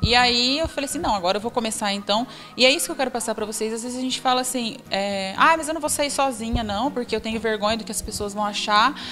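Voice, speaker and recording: Over music in the background, a woman speaks at a very fast pace with hardly any pauses. Her pitch is fairly high, with ordinary variation. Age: 20s. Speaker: businesswoman. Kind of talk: motivational talk.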